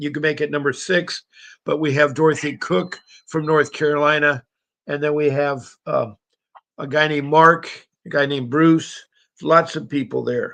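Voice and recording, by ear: This man sounds raspy, with vocal fry and a fairly bright tone at a fairly high pitch. His intonation stays fairly even as he speaks at a fairly slow pace.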